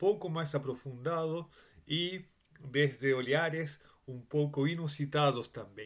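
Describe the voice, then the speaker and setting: Speaking with a strong Spanish accent, a man keeps a fairly slow pace. His pitch sits fairly high and varies in an ordinary way. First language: Spanish (speaking Portuguese). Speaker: Bible teacher. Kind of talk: Bible study lecture. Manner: halting, with many fillers and restarts.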